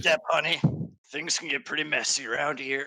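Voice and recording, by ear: A man puts on a raspy character voice with a fairly high pitch. He speaks at a moderate pace.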